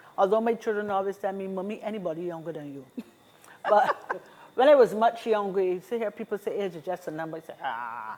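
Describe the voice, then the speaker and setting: A woman with a plain, everyday voice talks at a fairly quick pace in a medium pitch, with lively intonation and big swings in loudness. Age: 60s. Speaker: seniors' association representative. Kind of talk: talk show interview.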